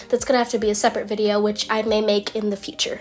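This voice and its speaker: Music plays behind the voice. A woman is the one talking. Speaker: digital artist. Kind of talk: tutorial voiceover.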